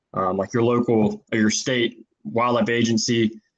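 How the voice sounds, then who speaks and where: With a Texan accent, a man speaks at a medium pitch. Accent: Texan American English. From Texas. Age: 20s. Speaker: naturalist and environmental consultant. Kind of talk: casual chat. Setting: podcast recording. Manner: halting, many fillers.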